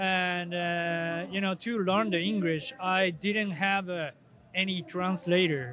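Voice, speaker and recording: With a Japanese accent, a man speaks at a very slow pace. His pitch is high and his intonation fairly even. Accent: Japanese, non-native English. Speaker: professional drifter. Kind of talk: casual interview. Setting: outdoors at car show event. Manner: halting, hesitant.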